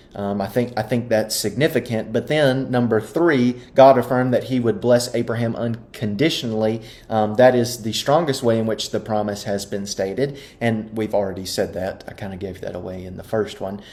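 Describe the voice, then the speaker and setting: A man's medium-pitched voice at a moderate pace, with ordinary pitch variation and hardly any pauses. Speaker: Bible class teacher. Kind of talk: Bible study lesson. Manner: hesitant with frequent um.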